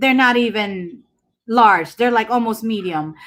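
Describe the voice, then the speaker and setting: A woman with a Filipino accent and lively intonation, on a very clean recording with a silent background. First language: Tagalog. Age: 40s. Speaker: livestreamer. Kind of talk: casual chat. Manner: loud when excited.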